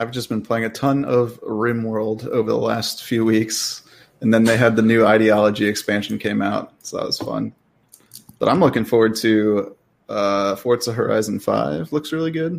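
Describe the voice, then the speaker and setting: A man speaks in an ordinary speaking voice at a moderate pace. His pitch is medium, with ordinary pitch variation. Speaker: gaming YouTuber. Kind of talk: casual chat.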